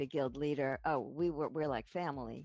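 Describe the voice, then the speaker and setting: A woman with a New York accent talks fairly quickly at a very deep, low pitch. Music plays in the background. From New York, Brooklyn and Long Island. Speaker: gamer in a raid group. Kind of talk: casual chat. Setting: group voice chat while gaming.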